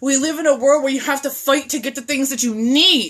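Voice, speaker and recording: A woman speaks loudly at a moderate pace with a bright, sharp tone. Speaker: video blogger and mental health advocate. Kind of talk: impassioned rant. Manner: animated.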